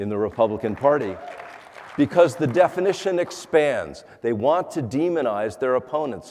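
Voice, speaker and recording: With crowd noise in the background, a man speaks at a moderate pace, his pitch swinging very widely. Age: 60s. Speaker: congressional candidate. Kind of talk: debate closing statement. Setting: auditorium with audience. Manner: halting.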